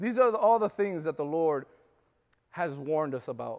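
Fairly high male voice with lively intonation, a fairly quick pace and a quiet background. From Florida. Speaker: preacher. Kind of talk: sermon. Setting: church. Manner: animated, call-and-response, urging the congregation to say amen; rising, fervent preaching cadence.

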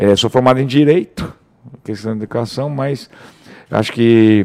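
Speaking at a moderate pace, a man uses an ordinary speaking voice at medium pitch with fairly even intonation. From Brazil, Mato Grosso (Rondonópolis). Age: 40s. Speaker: real estate broker. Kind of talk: casual chat.

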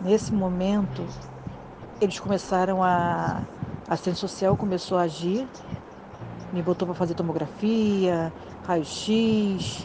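Over music in the background, a woman speaks very slowly with fairly even intonation. She leaves long, frequent pauses. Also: medium pitch for a woman. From Rio de Janeiro, Brazil. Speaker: wife of near-death survivor. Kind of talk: reading aloud.

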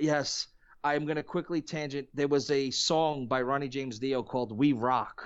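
In a plain, everyday voice, a man speaks at a moderate pace and a fairly high pitch with fairly even intonation. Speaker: musician and podcast guest. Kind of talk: casual chat.

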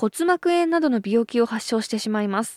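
A woman speaks at a moderate pace with lively intonation, her voice dry and close with no echo on a very clean recording against a silent background. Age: 30s. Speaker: radio host. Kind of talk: casual chat.

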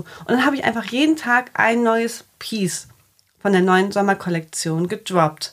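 In an unremarkable speaking voice, a woman talks at a moderate pace with medium pitch and ordinary pitch variation. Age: 30s. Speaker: fashion label founder. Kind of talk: casual interview.

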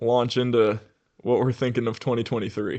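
In a plain, everyday voice, a man of medium pitch speaks at a fairly quick pace. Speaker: podcast host. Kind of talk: casual chat.

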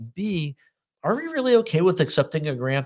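Somewhat breathy, a man speaks at a fairly quick pace. His pitch varies in an ordinary way. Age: 60s. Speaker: political talk show host. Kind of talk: interview.

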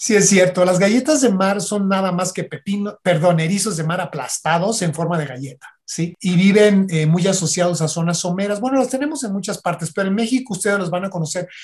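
A man with a Mexican accent talks at a fairly quick pace with hardly any pauses, his pitch high and its variation ordinary. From Mexico, Michoacán. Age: 50s. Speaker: marine biologist. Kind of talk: casual interview.

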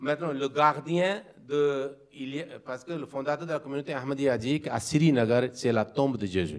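The speaker keeps to a moderate pace with ordinary pitch variation. It is an unremarkable speaking voice. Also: man, fairly high pitch for a man. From Pakistan. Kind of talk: interfaith debate. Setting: community hall with live audience.

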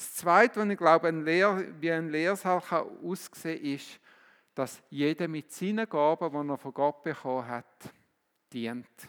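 A man's fairly high voice at a fairly slow pace, with ordinary pitch variation, big swings in loudness and a very clean recording with a silent background. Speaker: preacher. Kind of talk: sermon in a church service, teaching with direct appeals and closing prayer. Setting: church. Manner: earnest, animated, exhorting.

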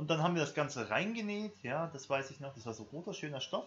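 Very wide pitch swings mark a man's somewhat breathy voice as he talks at a very fast pace. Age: about ten years older than co-host. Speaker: podcast co-host. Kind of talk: casual chat.

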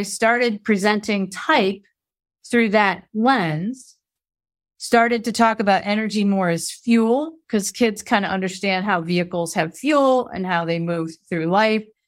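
A plain, everyday voice moves at a fairly slow pace with ordinary pitch variation. The recording is very clean with a silent background. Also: woman, medium pitch for a woman. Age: 50s. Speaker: former school teacher and human design coach. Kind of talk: casual interview.

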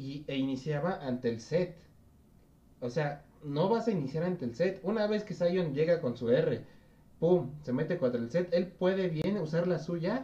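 A man's voice sits at a high pitch, dark and mellow in tone, with lively intonation. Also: fairly slow pace. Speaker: esports podcast host. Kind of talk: casual chat. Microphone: voice too quiet.

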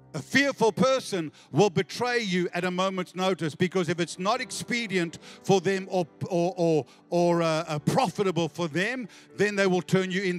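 Music plays in the background as a man speaks at a moderate pace in a high pitch and animated tone, the sound dry and close with no echo. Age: 50s. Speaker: pastor. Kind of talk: sermon. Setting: church with live congregation. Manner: animated, exhorting, rallies the congregation with call-and-response; conversational, teacherly pace with frequent false starts.

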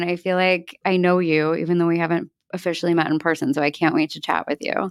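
A woman speaks in a Mid-Atlantic accent. The recording is very clean, with a silent background. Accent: American, Mid-Atlantic. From US Northeast, outside Philadelphia. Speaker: podcast host, interior designer. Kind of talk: interview, casual chat.

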